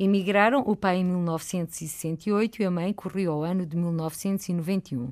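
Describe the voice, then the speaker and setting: A woman with a European Portuguese accent speaks very slowly with hardly any pauses, at medium pitch and with ordinary pitch variation. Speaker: radio host. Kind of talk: interview. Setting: studio.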